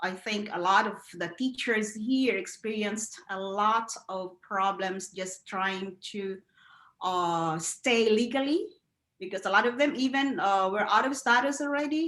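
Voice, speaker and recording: Lively intonation from a woman in a Filipino accent, at a fairly slow pace. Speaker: educator. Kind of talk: interview. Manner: halting.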